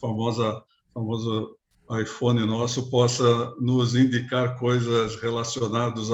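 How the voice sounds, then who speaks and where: The man speaks at a medium pitch in a flat, monotone way. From Brazil, São Paulo east zone. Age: 60s. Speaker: business executive. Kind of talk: interview.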